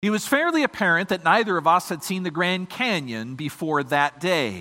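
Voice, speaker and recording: Lively intonation at a moderate pace. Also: man. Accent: American. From Michigan. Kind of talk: sermon. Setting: church.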